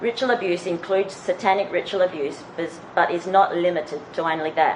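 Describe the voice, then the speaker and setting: A woman's medium-pitched voice in an Australian accent, fairly quick pace and ordinary pitch variation amid noticeable background noise. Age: 40s. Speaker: conference speaker, abuse survivor. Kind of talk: conference presentation. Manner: reading prepared text.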